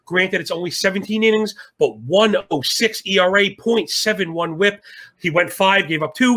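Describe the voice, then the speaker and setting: A man's high, bright, sharp voice, raised and projected, with ordinary pitch variation. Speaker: sports betting analyst. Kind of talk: sports betting discussion. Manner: fast; animated.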